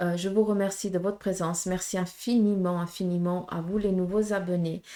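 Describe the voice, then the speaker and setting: Her voice is medium-pitched with a dark, mellow tone, and this woman talks at a moderate pace in a monotone, flat intonation. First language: Portuguese (speaking French). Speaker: medium, tarot reader. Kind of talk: tarot reading guidance to viewers. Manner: hesitant, many fillers.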